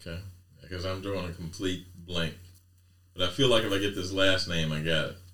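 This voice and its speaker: A man with a very deep, low pitch and a bright, sharp tone speaks at a fairly quick pace with fairly even intonation. His speech has long, frequent pauses, and audible room echo surrounds it. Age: 50s. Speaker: podcast co-host. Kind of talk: casual chat.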